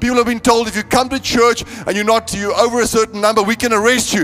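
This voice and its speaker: A man's extremely high-pitched voice at a very fast pace, with fairly even intonation and music in the background. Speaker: preacher. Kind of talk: sermon. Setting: church. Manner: emphatic; repetitive, rhythmic.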